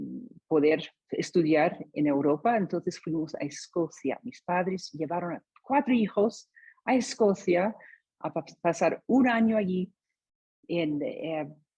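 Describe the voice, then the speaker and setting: Speaking at a very slow pace, a woman uses lively intonation. Her fairly low, somewhat breathy voice has a dark, mellow tone. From US, San Diego, California. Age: 60s. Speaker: testimony speaker. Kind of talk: testimony. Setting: video call. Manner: halting.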